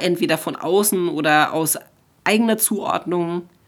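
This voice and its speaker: The speech comes at a fairly slow pace in a very clean recording with a silent background. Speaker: counselor and educator, guest. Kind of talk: interview conversation.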